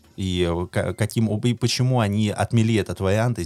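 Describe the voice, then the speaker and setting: Background music is playing. Over it, a man talks with ordinary pitch variation. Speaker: podcast co-host. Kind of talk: casual chat.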